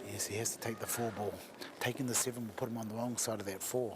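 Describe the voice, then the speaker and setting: Quiet and very fast, a man with a New Zealand accent speaks at a medium pitch in a monotone, flat intonation, with noticeable background noise behind him. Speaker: pool commentator. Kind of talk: live commentary. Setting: commentary box at venue. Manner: talking quietly.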